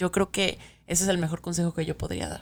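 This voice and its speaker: A woman's fairly low voice with a Mexican accent and monotone, flat intonation, on a very clean recording with a silent background. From Mexico City. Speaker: podcast co-host. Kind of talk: casual chat.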